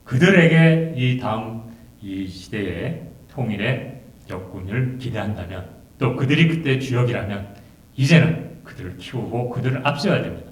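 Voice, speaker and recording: A man's medium-pitched voice with lively intonation, big swings in loudness and a fairly slow pace, plus audible room echo. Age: 60s. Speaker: symposium speaker. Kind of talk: symposium remarks. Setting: auditorium.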